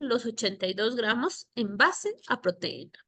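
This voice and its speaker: A woman's bright, sharp voice at a fairly slow pace, with ordinary pitch variation, against a quiet background. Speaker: nutritionist teaching a course. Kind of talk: lecture.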